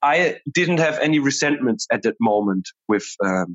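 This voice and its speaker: Speaking with a German accent, a man talks. His pace is fairly slow. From Germany. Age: 20s. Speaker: conflict transformation coach. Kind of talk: interview conversation. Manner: hesitant, many fillers.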